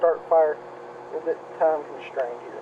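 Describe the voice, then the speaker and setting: A man's fairly high-pitched, monotone, flat voice at a moderate pace over noticeable background noise. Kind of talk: casual outdoor demonstration to camera. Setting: outdoors.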